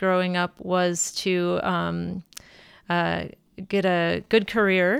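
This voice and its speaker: In an American accent, a woman speaks with fairly even intonation on a very clean recording with a silent background. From Minnesota, US Midwest. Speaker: mother sharing faith story. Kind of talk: personal testimony. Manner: halting, many fillers.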